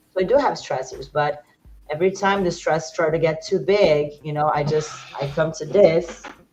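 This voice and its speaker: Music plays in the background as a woman with a fairly low pitch speaks at a moderate pace in fairly even intonation. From Brazil. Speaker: fitness instructor. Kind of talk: interview.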